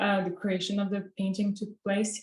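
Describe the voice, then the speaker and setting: A woman speaks with a French accent. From France. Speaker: student painter. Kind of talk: presentation of artwork. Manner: hesitant, many fillers.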